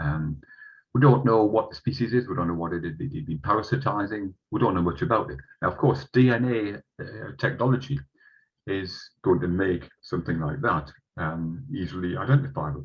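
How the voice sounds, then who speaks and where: A man with a fairly low, somewhat breathy voice makes very wide pitch swings. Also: moderate pace. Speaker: entomologist giving a talk. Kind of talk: online lecture. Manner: halting, many fillers.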